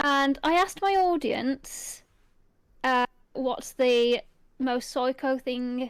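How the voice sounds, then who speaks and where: A voice with an English Midlands accent and ordinary pitch variation comes through in a very clean recording with a silent background. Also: woman. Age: 30s. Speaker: ASMR youtuber, podcast co-host. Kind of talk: casual chat.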